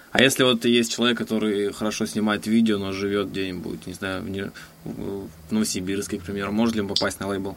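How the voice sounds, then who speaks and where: Moving at a fairly quick pace, a man speaks with a fairly low pitch and monotone, flat intonation. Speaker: podcast host. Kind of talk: interview. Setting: Skype call.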